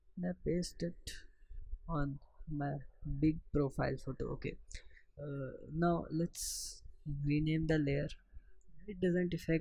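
Fairly slow and somewhat breathy, a man speaks at a fairly high pitch with monotone, flat intonation. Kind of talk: software tutorial voiceover. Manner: hesitant, casual.

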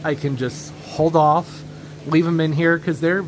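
A man talks at a moderate speed while noticeable noise carries on behind him. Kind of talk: casual vlog chat. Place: garage. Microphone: phone near.

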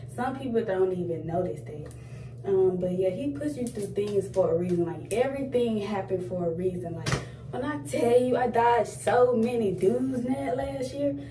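Music plays behind a woman who speaks at a moderate pace. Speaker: vlogger. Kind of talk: casual vlog chat. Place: bathroom. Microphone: phone near.

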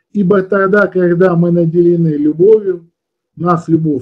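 The background is quiet. A man speaks in a high voice with ordinary pitch variation. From Odesa, Ukraine; Ukraine. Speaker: esoteric teacher and webinar leader; esoteric teacher. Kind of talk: webinar lecture. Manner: conversational, explanatory, somewhat halting with fillers. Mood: calm, persuasive. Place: home room. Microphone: webcam.

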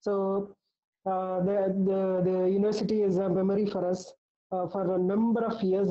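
The speaker talks at a moderate pace with monotone, flat intonation against a quiet background. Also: woman. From India. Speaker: nutritionist and talk series host; talk series host. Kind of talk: introduction speech; speaker introduction. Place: home room. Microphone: earbuds.

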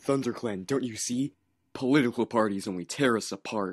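A man's put-on character voice at a medium pitch, fairly quick in pace, with a quiet background. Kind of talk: comic parody voice acting. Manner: commanding, stern.

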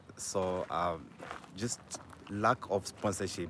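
Noticeable background noise sits under a dry sound with no echo. A man speaks with a very deep, low pitch. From Zambia. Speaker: local tour guide. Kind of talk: casual chat. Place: street. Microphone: phone near.

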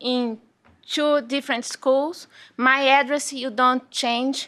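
Using a raised, projected voice, a woman with a non-native accent, a high pitch and a bright, sharp tone speaks at a very slow pace. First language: not English. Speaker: parent speaking at public hearing. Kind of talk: public comment. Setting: school board meeting.

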